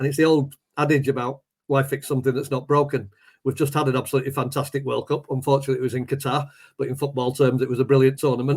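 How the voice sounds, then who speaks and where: Talking at a very fast pace, a man has a fairly high, somewhat breathy voice. His intonation stays monotone and flat. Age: 60s. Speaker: poet and teacher, football fan. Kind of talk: casual chat.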